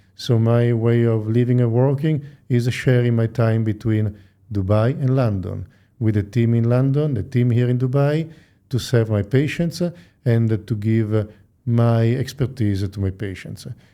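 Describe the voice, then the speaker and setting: A man with an Italian accent speaks at medium pitch and a fairly slow pace, his dark, mellow tone and fairly even intonation captured in a very clean recording with a silent background. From Italy. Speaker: plastic surgeon. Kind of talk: interview. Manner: hesitant with frequent fillers.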